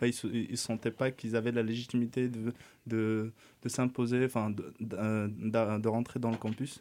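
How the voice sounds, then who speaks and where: On a very clean recording with a silent background, a man speaks at moderate pace with medium pitch, a dark, mellow tone and flat, monotone intonation. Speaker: urban planning student. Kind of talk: radio interview. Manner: halting.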